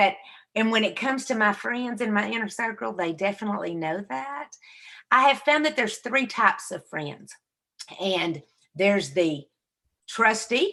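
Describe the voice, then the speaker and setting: A woman with a Southern US accent, fairly high-pitched and bright, sharp in tone, at a moderate pace with very wide pitch swings and long, frequent pauses. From US South. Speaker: podcast co-host, inspirational speaker. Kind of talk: casual chat. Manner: animated.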